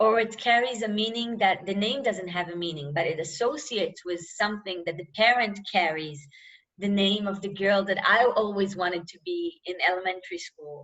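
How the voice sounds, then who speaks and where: With an Israeli accent, a woman talks at a moderate pace and medium pitch, showing ordinary pitch variation and big swings in loudness. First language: Hebrew. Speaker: novelist. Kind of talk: interview. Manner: halting.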